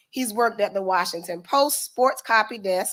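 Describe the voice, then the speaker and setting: A woman with a Southern US accent speaks with ordinary pitch variation on a very clean recording with a silent background. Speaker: event organizer. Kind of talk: reading aloud. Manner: formal.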